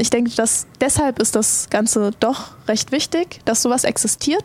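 A woman with a fairly high voice talks fairly slowly against noticeable background noise. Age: 20s. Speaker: esports pro player. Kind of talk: casual chat.

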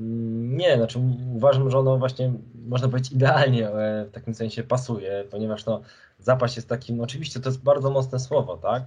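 A man's somewhat breathy, medium-pitched voice, fairly quick in pace and with monotone, flat intonation. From Poland, Lublin region (Krasnystaw). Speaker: journalist and author. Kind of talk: interview. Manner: halting, many fillers and repetitions.

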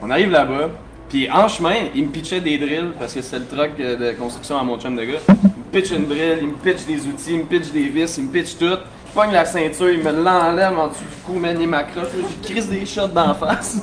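A fairly high-pitched man with a Quebec accent at a moderate pace, ordinary pitch variation, and noticeable background noise. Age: young. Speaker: bartender and DJ. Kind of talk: casual interview before live audience. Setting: bar with live audience.

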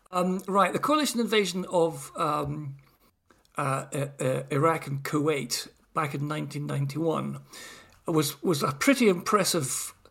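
With a slight Scottish accent, a man talks in a fairly high pitch with ordinary pitch variation. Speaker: retired army officer. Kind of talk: casual chat.

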